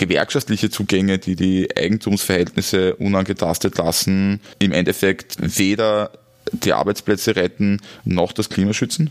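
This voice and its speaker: A man's plain, everyday voice, fairly low in pitch, at a moderate pace and very even loudness. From Austria, Styria. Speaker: podcast host. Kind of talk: interview.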